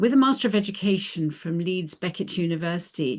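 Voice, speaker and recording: A woman with a normal speaking voice at medium pitch, talking at a fairly quick pace against a quiet background. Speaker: webinar host. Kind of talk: webinar moderation.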